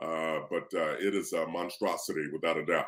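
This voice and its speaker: American accent from a man at a moderate pace, very clean recording with a silent background. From Kentucky, US South. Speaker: author and motivational speaker. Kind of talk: interview.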